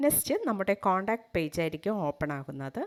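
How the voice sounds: Her voice, a woman's, sits at a medium pitch.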